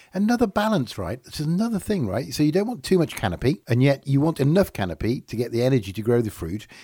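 In an English accent, a man races along at a very fast pace with hardly any pauses, his fairly high, somewhat breathy voice swinging very widely in pitch, on a very clean recording with a silent background. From England. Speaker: podcast host. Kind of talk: casual chat. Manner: animated.

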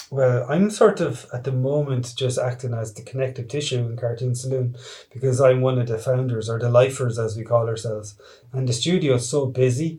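A man with an Irish accent talks at a fairly quick pace in a dark, mellow, somewhat breathy voice. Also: medium pitch for a man, fairly even intonation. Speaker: animated film director. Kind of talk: interview.

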